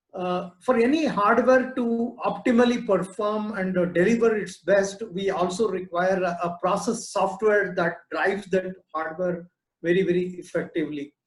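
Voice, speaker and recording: A man speaks at a high pitch. He leaves hardly any pauses. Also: ordinary pitch variation, moderate pace. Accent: Indian. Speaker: business incubator director. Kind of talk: webinar talk. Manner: hesitant, many fillers.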